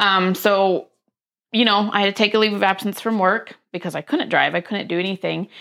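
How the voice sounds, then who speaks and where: A woman talks at a fairly quick pace with an American accent. Her tone is bright and sharp. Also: medium pitch for a woman, very clean recording, silent background. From US, various places (Air Force brat). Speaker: small business owner, dog treat baker. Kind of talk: casual interview.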